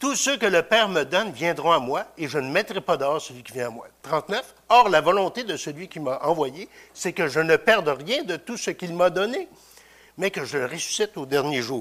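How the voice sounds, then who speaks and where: This man has a high pitch and lively intonation. He talks at a moderate pace. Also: big swings in loudness, very clean recording, silent background. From Quebec (Victoriaville). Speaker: preacher. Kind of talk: sermon. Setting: church. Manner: halting.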